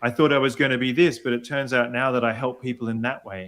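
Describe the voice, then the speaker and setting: Here a man speaks with an Australian accent. His pitch is medium. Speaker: executive voice coach; opera singer. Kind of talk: interview answer.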